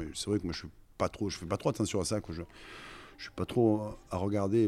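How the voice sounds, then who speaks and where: A man with a Provençal accent speaks in a dark, mellow tone at a fairly low pitch, his intonation fairly even, on a very clean recording with a silent background. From Marseille, southern France. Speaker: orchestral trombonist. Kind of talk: casual interview.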